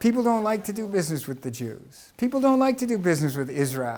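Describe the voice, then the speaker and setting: A man with an American accent speaks at a fairly quick pace. His high voice swings very widely in pitch. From US West Coast, Los Angeles. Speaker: tech company engineer and speaker. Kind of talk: lecture.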